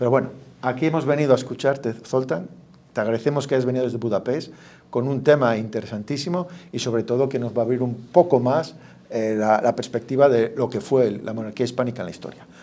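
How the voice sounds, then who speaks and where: Very fast speech comes from a man. His tone is dark and mellow. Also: medium pitch for a man, ordinary pitch variation. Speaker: event host. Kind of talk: speaker introduction.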